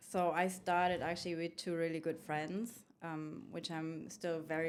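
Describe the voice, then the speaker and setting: Speaking fairly slowly with a German accent, a woman keeps a fairly low, flat, monotone delivery. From Germany. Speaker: food truck owner and carpentry student. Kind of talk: podcast interview.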